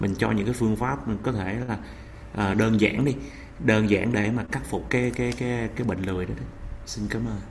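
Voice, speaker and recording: Audible room echo and noticeable background noise surround a man with a fairly low pitch. He keeps a moderate pace and fairly even intonation. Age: 30s. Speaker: healthcare worker, audience member. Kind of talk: audience question.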